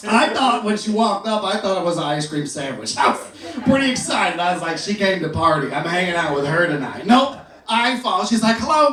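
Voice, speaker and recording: Over noticeable background noise and audible room echo, a man with an American accent speaks in an animated tone with a high pitch, lively intonation, and a fairly quick pace. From Houston, Texas. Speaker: stand-up comedian. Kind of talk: stand-up.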